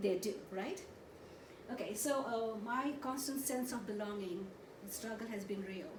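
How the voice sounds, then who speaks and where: In an animated tone, a woman speaks at a fairly high pitch and a moderate pace, with ordinary pitch variation and long, frequent pauses. Noticeable background noise and audible room echo fill the recording. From India, Goa. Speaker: therapist and conference presenter. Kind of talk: conference presentation.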